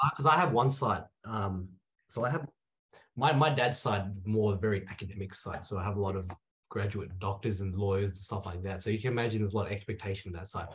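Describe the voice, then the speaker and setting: Somewhat breathy and fairly low in pitch, a man with an Australian accent talks at a very fast pace with ordinary pitch variation. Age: 20s. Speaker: pharmacist. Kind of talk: interview conversation.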